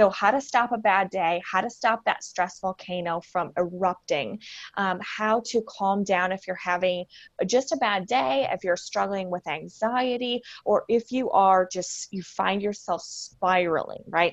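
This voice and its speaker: A woman with an American accent speaks at medium pitch in a normal speaking voice, with ordinary pitch variation. Her pace is fairly slow, and the background is quiet. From US Midwest (Michigan). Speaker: wellness coach, former paramedic. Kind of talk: podcast interview.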